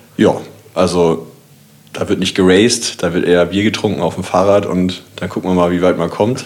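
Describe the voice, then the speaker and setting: The speech moves at a moderate pace with fairly even intonation. Noticeable background noise is present. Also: man, very deep, low pitch for a man. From Kiel, northern Germany. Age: 30s. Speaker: designer. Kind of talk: casual chat.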